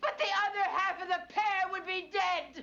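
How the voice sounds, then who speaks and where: A woman uses a put-on character voice at an extremely high pitch. She speaks at a moderate pace. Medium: short film. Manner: fretful, flustered.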